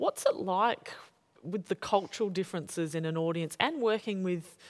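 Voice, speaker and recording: Her accent is Australian, and this woman's pitch varies in an ordinary way. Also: very clean recording, silent background. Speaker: journalist interviewer and playwright. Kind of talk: onstage interview conversation. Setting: stage with audience.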